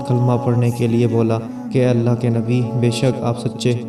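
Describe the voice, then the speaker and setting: A man talks at a medium pitch as music plays in the background. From Pakistan. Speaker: voice over artist. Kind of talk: religious story narration.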